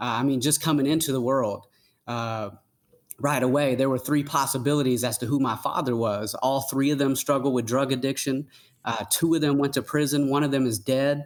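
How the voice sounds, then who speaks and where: A man speaks with a Southern US accent at a fairly quick pace. His pitch is medium and his intonation fairly even. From US South, Gwinnett County, Atlanta, Georgia. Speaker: youth mentor and motivational speaker. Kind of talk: interview testimony. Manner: fast.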